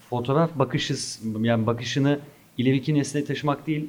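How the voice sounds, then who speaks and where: A man speaks at a fairly quick pace in an unremarkable speaking voice. His pitch is medium, with fairly even intonation. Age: 30s. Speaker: photography instructor. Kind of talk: interview.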